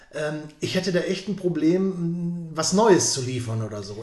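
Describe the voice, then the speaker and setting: A man's high-pitched voice amid noticeable background noise and audible room echo. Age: 50s. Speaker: podcast host and interviewer. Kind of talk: podcast interview.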